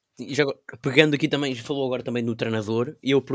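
Recorded very cleanly against a silent background, a man talks at a very fast pace with fairly even intonation, the sound dry and close with no echo. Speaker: podcast co-host. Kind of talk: interview. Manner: halting.

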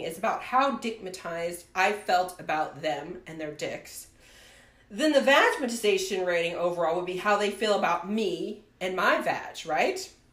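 Noticeable background noise surrounds a woman who talks fairly slowly. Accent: American. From US Midwest, rural Ohio. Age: 40s. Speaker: podcast host. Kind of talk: casual chat.

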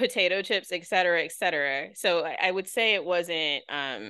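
A woman with an American accent speaks at a moderate pace and fairly low pitch in an ordinary speaking voice. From Philadelphia, Pennsylvania. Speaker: pharmaceutical researcher. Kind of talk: casual chat.

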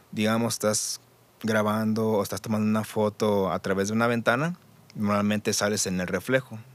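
Fairly low male voice with a Mexican accent, fairly even intonation and a moderate pace. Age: 30s. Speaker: audiovisual producer. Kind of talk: casual chat. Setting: studio.

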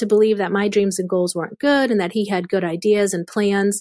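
A woman with a medium pitch has a plain, everyday voice, heard in a very clean recording with a silent background. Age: young. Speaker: sex trafficking survivor and ministry founder. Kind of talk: testimony.

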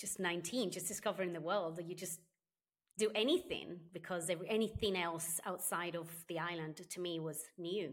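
A woman with an Italian accent and fairly even intonation. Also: fairly low pitch for a woman, moderate pace. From Sardinia, Italy. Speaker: customer experience consultant and author. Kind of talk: interview.

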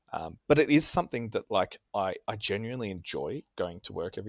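A man talks at a fairly quick pace in an Australian accent, his loudness swinging widely. The sound is dry and close with no echo, on a very clean recording with a silent background. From Australia, Canberra. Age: 30s. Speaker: tabletop gamer. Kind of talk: casual chat.

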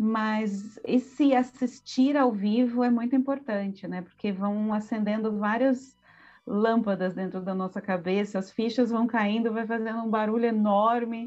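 Using a normal speaking voice, a woman talks at a fairly slow pace with a fairly high pitch and fairly even intonation. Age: 40s. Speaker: visual artist and art history professor. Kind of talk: casual interview with didactic explanations.

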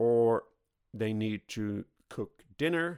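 A man with a Swedish accent and lively intonation, on a very clean recording with a silent background. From Sweden. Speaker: podcast host. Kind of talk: solo podcast monologue.

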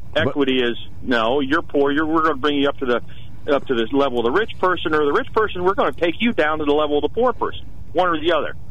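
Over noticeable background noise, a man with a fairly high pitch talks at a very fast pace with an American accent. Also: ordinary pitch variation. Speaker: caller. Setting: phone call.

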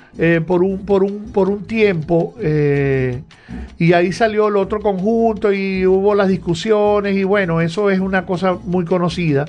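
With music in the background, a man speaks at a high pitch, keeping his loudness very even and his intonation fairly even. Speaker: radio host. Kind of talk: casual chat. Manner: halting.

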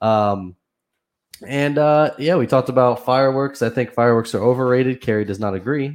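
Over a quiet background, a man with an American accent speaks at a medium pitch and a fairly quick pace. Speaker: podcast host. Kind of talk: casual chat. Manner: monotone, not animated; laid-back.

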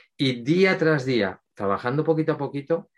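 Against a quiet background, a man with an unremarkable speaking voice talks at a fairly slow pace with ordinary pitch variation. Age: 50s. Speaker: mental focus coach. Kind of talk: interview.

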